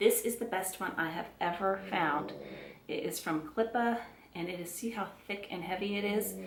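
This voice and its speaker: Over noticeable background noise and audible room echo, a woman with a Southern US accent speaks with ordinary pitch variation. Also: medium pitch for a woman, moderate pace. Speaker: beauty and handbag vlogger. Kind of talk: casual product review to camera. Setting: at home. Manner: chatty, with frequent fillers and self-corrections.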